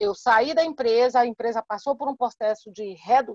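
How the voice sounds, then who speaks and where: In a dry, close sound with no echo, a woman uses an ordinary speaking voice with fairly high pitch and ordinary pitch variation. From Salvador, Bahia, Brazil. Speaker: entrepreneur speaker. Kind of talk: live online talk, Q&A answer.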